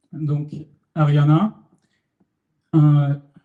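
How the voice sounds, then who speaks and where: A man's voice, somewhat breathy, has a dark, mellow tone. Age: 20s. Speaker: student startup founder presenting. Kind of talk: meetup tech talk with live demo. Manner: hesitant, many fillers.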